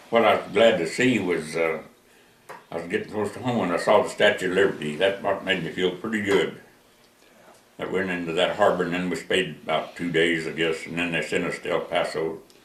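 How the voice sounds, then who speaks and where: A man talks at a fairly quick pace, with audible room echo around his voice. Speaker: war veteran. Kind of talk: oral history interview. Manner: halting.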